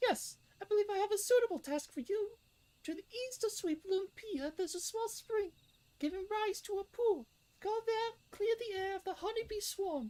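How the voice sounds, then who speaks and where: This squeaky put-on character voice has an extremely high pitch and moves at a moderate pace. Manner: cringy, put-on.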